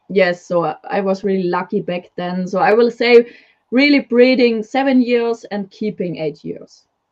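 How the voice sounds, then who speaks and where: A woman talks at a moderate pace with a German accent. Her pitch sits in the medium range. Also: ordinary pitch variation. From Germany. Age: 20s. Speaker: leopard gecko breeder. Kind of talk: casual interview chat. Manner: halting.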